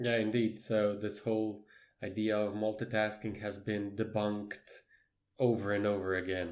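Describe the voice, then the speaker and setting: In a non-native accent, a man with a fairly low pitch speaks at a moderate pace with monotone, flat intonation, on a very clean recording with a silent background. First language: not English. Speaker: podcast co-host. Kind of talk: casual chat. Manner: halting.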